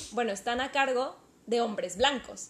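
A woman's high-pitched voice. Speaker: podcast co-host. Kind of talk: casual chat.

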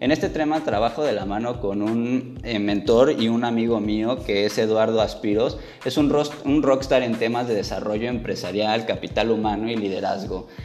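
Speaking in a Mexican accent at a moderate pace, a man with a medium pitch keeps a fairly even intonation amid noticeable background noise and audible room echo. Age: 20s. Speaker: podcast host, psychologist. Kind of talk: motivational monologue.

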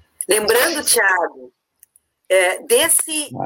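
This woman's voice has a bright, sharp tone. Her intonation is lively. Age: 50s. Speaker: university administrative staff coordinator. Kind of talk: live-stream panel discussion.

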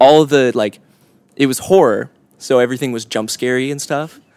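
At a moderate pace, a man with an American accent speaks in an ordinary speaking voice, medium in pitch with fairly even intonation. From Orange County, California. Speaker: musician. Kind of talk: casual interview.

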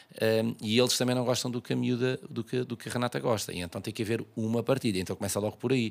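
A man's medium-pitched voice at a very fast pace, hardly any pauses, ordinary pitch variation. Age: 40s. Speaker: tailor. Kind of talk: casual chat.

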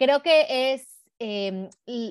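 Heard on a very clean recording with a silent background, a woman uses a plain, everyday voice at a fairly high pitch. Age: 40s. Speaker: body positivity activist and educator. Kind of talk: casual interview.

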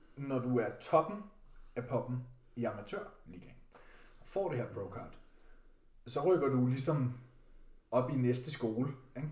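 A somewhat breathy man at a fairly slow pace, with audible room echo. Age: 20s. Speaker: bodybuilder and fitness podcast co-host. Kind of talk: casual chat.

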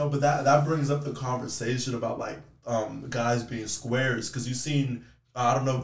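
Over noticeable background noise and audible room echo, a man with an American accent speaks at a moderate pace and medium pitch in a monotone, flat way. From Texas. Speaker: podcast host. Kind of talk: casual chat.

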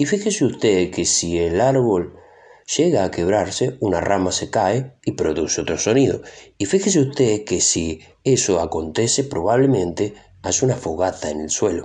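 Against a quiet background, a man with a fairly low pitch and a dark, mellow tone speaks with lively intonation and a somewhat breathy sound. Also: moderate pace. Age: 20s. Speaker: actor and impressionist podcaster. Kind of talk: solo podcast monologue.

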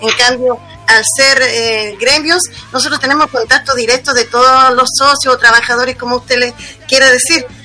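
A woman with a Chilean accent speaks in a raised, projected voice at a fairly quick pace. Her pitch is high with ordinary variation, and music plays in the background. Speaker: union leader. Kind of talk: interview.

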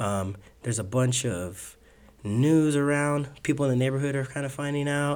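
A man talks at a moderate pace in an unremarkable speaking voice, fairly high in pitch with ordinary pitch variation. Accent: American. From South Tucson, Arizona. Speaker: youth basketball coach. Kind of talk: casual chat.

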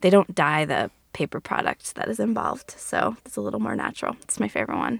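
Speaking at a very fast pace, a woman with a very deep, low pitch and vocal fry makes very wide pitch swings, and the sound is dry and close with no echo. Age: 30s. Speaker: podcast guest sharing personal story. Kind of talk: personal storytelling, casual.

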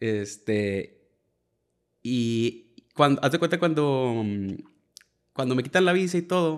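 This man's voice sits at a medium pitch, with lively intonation. He talks at a very slow pace, leaving long, frequent pauses. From Piedras Negras, Coahuila, Mexico. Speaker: musician, bassist. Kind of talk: casual interview chat. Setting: host's home.

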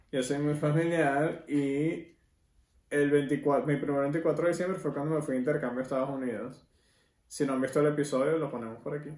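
A man speaks at a moderate pace with fairly even intonation and a fairly high pitch. The room echo is audible. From Venezuela. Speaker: podcast host. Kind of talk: casual chat.

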